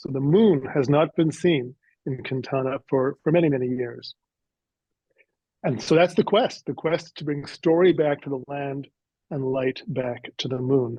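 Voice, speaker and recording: At a fairly slow pace, a man with a Canadian accent speaks at a fairly high pitch with ordinary pitch variation. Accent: Canadian, noticeable on words like 'out'. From Canada. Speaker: author. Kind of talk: interview. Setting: podcast interview. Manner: hesitant, many fillers.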